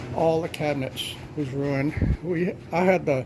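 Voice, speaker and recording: A man with a Texan accent talks at a fairly high pitch over noticeable background noise. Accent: Texan Southern US. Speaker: homesteader. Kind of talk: casual talk to camera.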